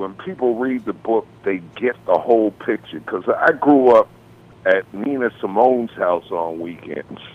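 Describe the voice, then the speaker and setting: At a fairly slow pace, a man speaks in a plain, everyday voice at a medium pitch with lively intonation. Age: 60s. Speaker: music industry veteran and author. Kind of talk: podcast interview.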